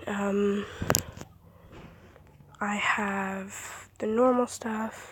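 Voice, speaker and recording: Against noticeable background noise, a woman talks at a medium pitch with monotone, flat intonation. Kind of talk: casual phone screen-recording talk.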